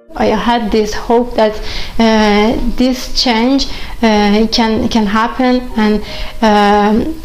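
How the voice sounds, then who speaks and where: Speech comes at a very slow pace in a Persian accent, with fairly even intonation. Light background noise runs underneath. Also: woman. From Iran. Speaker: chess grandmaster. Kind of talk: interview answer. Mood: calm, earnest, reflective. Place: home room.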